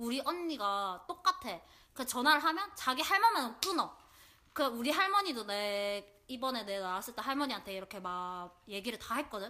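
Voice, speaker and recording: At a moderate pace, a woman speaks in a high, bright, sharp tone with very wide pitch swings. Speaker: podcast co-host. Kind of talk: casual chat, telling a personal story. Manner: animated, laughs often.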